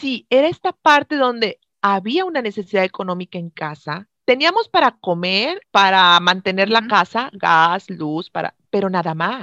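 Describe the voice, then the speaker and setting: A woman's medium-pitched voice, fairly slow with lively intonation, in a dry, close sound with no echo and a quiet background. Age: 40s. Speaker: health coach. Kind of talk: interview. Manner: halting.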